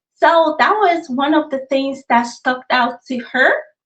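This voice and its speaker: Here a woman speaks with a Nigerian accent. Her intonation is lively. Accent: noticeable accent, Nigerian. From Nigeria, raised in US. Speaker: author. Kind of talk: interview. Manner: conversational.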